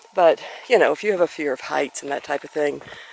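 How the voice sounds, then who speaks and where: Against noticeable background noise, a woman talks at a fairly quick pace with a very deep, low pitch and fairly even intonation. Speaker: hiker vlogger. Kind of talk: outdoor vlog narration. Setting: outdoors on a mountain trail. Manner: loud to warn a bear.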